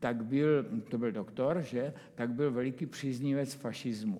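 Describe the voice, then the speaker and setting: The tone is dark and mellow. Delivery is fairly slow, with ordinary pitch variation. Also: man. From Czech Republic, Brno. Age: 80s+. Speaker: composer. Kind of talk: casual chat. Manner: halting.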